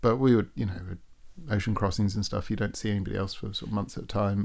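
A man with an English accent, fairly low in pitch and dark, mellow in tone, at a very fast pace in a very clean recording with a silent background. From England. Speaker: sailor and guest. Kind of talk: casual interview chat. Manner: conversational, humorous.

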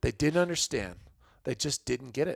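A man with an American accent has a plain, everyday voice. His pitch is fairly high and his intonation lively. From US Midwest, Illinois. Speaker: hunting photographer and fishing guide. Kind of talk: casual chat.

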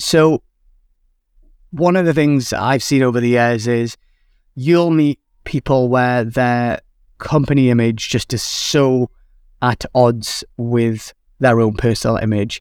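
In a very clean recording with a silent background and a dry, close sound with no echo, a man speaks at a very slow pace with medium pitch, ordinary pitch variation, very even loudness and long, frequent pauses. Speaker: podcast host. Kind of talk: casual solo talk giving advice. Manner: conversational.

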